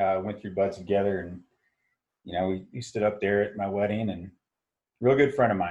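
Fairly quick speech with an American accent. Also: man. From Southern California, Orange County. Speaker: military veteran and business owner. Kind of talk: casual chat.

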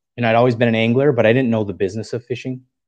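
A man with an ordinary speaking voice talks at a medium pitch with fairly even intonation against a quiet background. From US Upper Midwest, northern Wisconsin. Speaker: co-founder of an online tackle retailer. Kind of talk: podcast interview.

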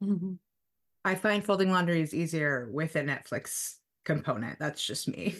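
This is a plain, everyday voice with lively intonation. It moves at a moderate pace over a quiet background. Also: woman, fairly low pitch for a woman. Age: 40s. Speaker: therapist. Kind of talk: casual chat.

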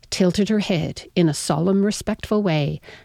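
An unforced voice reads with pitch that shifts in an ordinary way.

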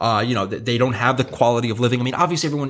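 This man talks at a medium pitch in an American accent. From New York. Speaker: podcast host. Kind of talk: casual chat. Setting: studio.

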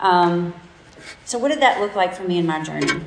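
A woman speaks at a medium pitch with ordinary pitch variation. Noticeable background noise and audible room echo surround her voice. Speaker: church speaker. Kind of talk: talk to a group.

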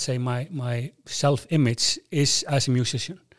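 A man with an Icelandic accent speaks at a very slow pace. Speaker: airline CEO and rock drummer. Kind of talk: interview. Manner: halting.

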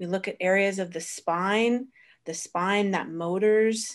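In an ordinary speaking voice, a woman talks at a fairly slow pace with fairly even intonation. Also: quiet background. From Florida, US. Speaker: osteopathic practitioner and teacher. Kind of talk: interview.

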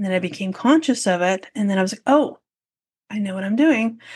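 Over a quiet background, a woman's somewhat breathy voice sits fairly high in pitch, with ordinary pitch variation. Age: 40s. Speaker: podcast host and photography business coach. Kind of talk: solo podcast monologue.

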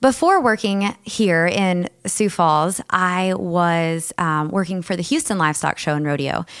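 A woman with an ordinary speaking voice, medium pitch and ordinary pitch variation, at a fairly slow pace, on a very clean recording with a silent background. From South Texas. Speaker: agribusiness director at a chamber of commerce. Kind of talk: interview. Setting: studio.

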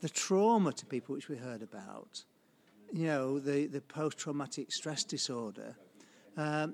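Someone speaks with a Yorkshire accent on a very clean recording with a silent background. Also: man. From northern England, Sheffield. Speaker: ecology professor. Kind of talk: radio interview.

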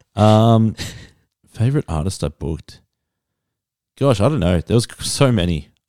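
In an Australian accent, a man with a dark, mellow tone and fairly low pitch speaks with lively intonation and long, frequent pauses. The recording is very clean with a silent background, dry and close with no echo. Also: moderate pace. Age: 30s. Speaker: podcast host. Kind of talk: casual chat.

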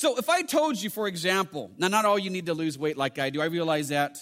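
With an American accent, this voice has a bright, sharp tone and very wide pitch swings. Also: man. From United States. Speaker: pastor. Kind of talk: sermon. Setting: church. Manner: fast.

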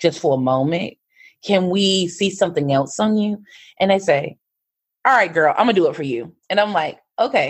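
Her pitch fairly low, a woman speaks at a moderate pace with lively intonation. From rural North Carolina, US South. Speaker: fashion stylist and entrepreneur. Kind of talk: interview storytelling.

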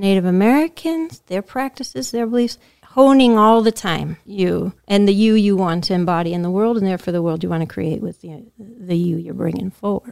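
Speaking with hardly any pauses, a woman uses lively intonation at a medium pitch in an unremarkable speaking voice. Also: moderate pace. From Massachusetts, US. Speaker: podcast host. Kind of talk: interview.

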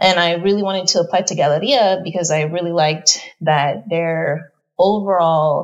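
A woman speaks at a fairly slow pace in an unremarkable speaking voice. Her pitch is fairly low, with ordinary variation. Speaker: artist. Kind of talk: casual chat.

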